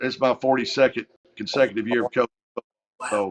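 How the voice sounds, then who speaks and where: A man with a Kentucky Appalachian accent talks with fairly even intonation in a dry, close recording with no echo. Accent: Kentucky Appalachian Southern US. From eastern Kentucky, US. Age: 60s. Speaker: high school football coach. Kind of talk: interview. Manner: halting, many fillers.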